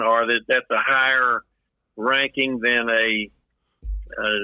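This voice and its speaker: A man's medium-pitched voice at a fairly slow pace. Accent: Texan. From Texas, Houston. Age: 70s. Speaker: lodge secretary, freemason. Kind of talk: interview.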